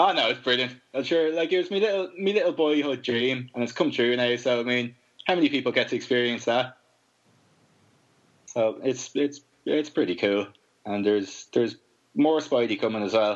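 Speaking with an Irish accent, a man uses a medium pitch, a moderate pace and lively intonation. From Ireland. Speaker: comic book artist, podcast guest. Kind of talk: casual, chatty.

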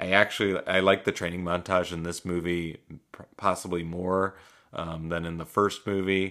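A man with a gravelly, very deep, low voice speaks at a moderate pace in a monotone, flat intonation. His loudness swings widely. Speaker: podcast host and movie reviewer. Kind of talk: solo movie review monologue. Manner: casual with frequent fillers.

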